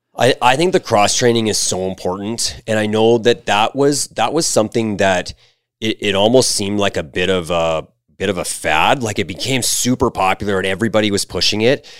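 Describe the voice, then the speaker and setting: On a dry, close recording with no echo, a man with a Canadian accent speaks at a fairly quick pace in an ordinary speaking voice, fairly low in pitch with ordinary pitch variation. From Alberta, Canada (Red Deer). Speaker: baseball coach. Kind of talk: interview.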